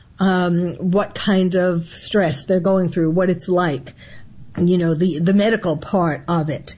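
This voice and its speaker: Somewhat breathy, a woman speaks at a fairly slow pace. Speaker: psychiatrist. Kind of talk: interview expert commentary.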